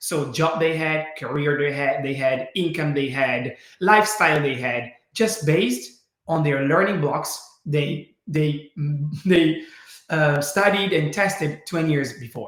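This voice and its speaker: With an Italian accent, a man speaks slowly-ish at a fairly slow pace, his fairly high pitch showing ordinary pitch variation. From Italy. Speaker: learning program co-founder. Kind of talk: webinar presentation. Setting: webinar.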